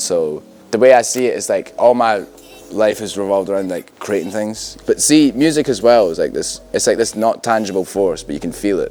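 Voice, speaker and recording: Backed by music, a man with a strong Scottish accent and a fairly low pitch talks at a very fast pace. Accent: Scottish, thick. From Scotland, Stirling area. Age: 20s. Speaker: music producer and DJ. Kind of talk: interview. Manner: casual, filler-heavy.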